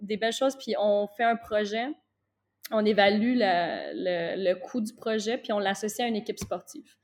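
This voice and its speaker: A woman's plain, everyday voice, fairly high in pitch, with ordinary pitch variation and a moderate pace. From Quebec (Gatineau). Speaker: basketball coach. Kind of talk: interview.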